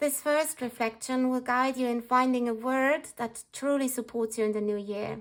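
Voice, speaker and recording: Fairly slow, fairly even speech in a non-native accent. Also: woman. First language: not English. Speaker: journaling vlogger. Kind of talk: tutorial. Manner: calm.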